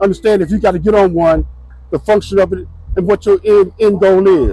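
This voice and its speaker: A man's high voice at a very fast pace, fairly even in intonation, with a New Orleans accent and music in the background. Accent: New Orleans US Southern. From New Orleans, Louisiana, US South. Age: 70s. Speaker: retired law enforcement officer. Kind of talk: interview. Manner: halting.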